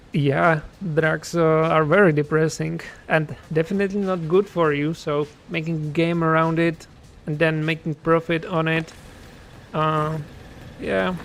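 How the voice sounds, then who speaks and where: Spoken with a Czech accent at a fairly slow pace, broken by long, frequent pauses. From Czech Republic. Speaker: game developer and streamer. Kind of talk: casual livestream chat. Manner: hesitant, many fillers.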